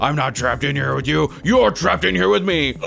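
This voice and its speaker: A man's put-on character voice, medium in pitch and fairly quick, over clear background noise. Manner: menacing, threatening, taunting.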